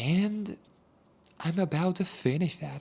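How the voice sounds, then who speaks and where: A man speaks at a very slow pace with very wide pitch swings. The recording is very clean, with a silent background. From Argentina, La Plata, Buenos Aires province. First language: Spanish. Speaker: English teacher. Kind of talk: casual monologue podcast.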